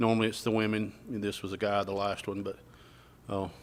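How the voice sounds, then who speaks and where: Someone with an Alabama accent talks at a fairly quick pace in a monotone, flat intonation. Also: man. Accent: Southern US (Alabama). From US South. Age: 60s. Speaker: realtor and retired police detective. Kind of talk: radio interview. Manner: halting.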